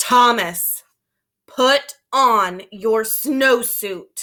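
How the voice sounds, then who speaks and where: Using a put-on character voice, a woman talks at a fairly high pitch with ordinary pitch variation. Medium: read story.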